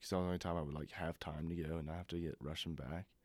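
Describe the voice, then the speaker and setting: A man with a Southern US accent, on a very clean recording with a silent background. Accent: Southern US (Georgia). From US South, Georgia (Madison). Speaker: student podcast co-host. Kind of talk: casual chat.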